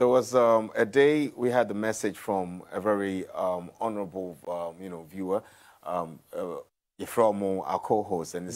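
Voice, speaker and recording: A man with a normal speaking voice, fairly low in pitch, at a moderate pace with ordinary pitch variation and big swings in loudness, over a quiet background. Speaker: TV show host. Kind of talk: talk show discussion. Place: studio. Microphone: lapel.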